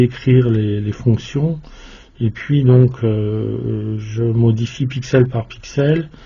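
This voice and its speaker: Here is a man with a medium-pitched voice. His intonation is fairly even. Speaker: electronics hobbyist YouTuber. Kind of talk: tutorial. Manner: monotone; hesitant, many filler sounds.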